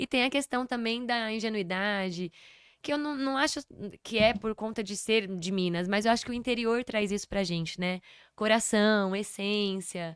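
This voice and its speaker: A woman's fairly high, normal speaking voice, ordinary pitch variation at a moderate pace, on a very clean recording with a silent background and a dry, close sound with no echo. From São Paulo, Brazil. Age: 30s. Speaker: podcast guest, performer and speaker. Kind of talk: casual interview chat.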